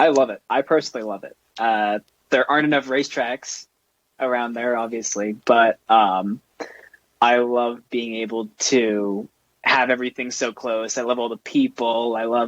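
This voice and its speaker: Recorded with a dry, close sound and no echo, a man with a New York accent speaks at a moderate pace and medium pitch in monotone, flat intonation. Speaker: racing driver. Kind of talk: casual chat.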